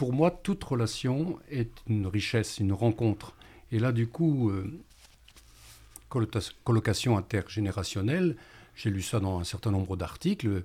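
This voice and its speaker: A man speaks at a medium pitch with a dark, mellow tone, somewhat breathy. His pace is fairly slow, his intonation lively, with long, frequent pauses. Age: 60s. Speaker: retired primary school teacher. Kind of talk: radio panel discussion.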